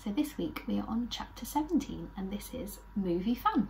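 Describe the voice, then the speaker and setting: The speech moves at a moderate pace over light background noise. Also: woman. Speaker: children's storyteller. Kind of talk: story reading to children. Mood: warm and cheerful. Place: home room.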